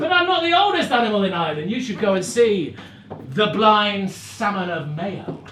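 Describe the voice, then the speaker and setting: Noticeable background noise surrounds a man speaking in a high pitch. His voice is raised and projected, with lively intonation. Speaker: storyteller, narrator and musician. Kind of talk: live storytelling to an audience.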